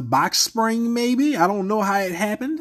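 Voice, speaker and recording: The speaker has a New Orleans accent and talks at a fairly slow pace over a quiet background. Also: man. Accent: New Orleans Southern US. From US South. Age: 30s. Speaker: podcast host. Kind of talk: casual commentary rant. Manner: animated; crude and profane.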